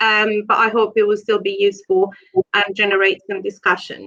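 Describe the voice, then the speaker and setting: With an Italian accent, a woman speaks at a fairly slow pace with ordinary pitch variation. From Italy, Rome. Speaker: genetics researcher. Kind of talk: lecture.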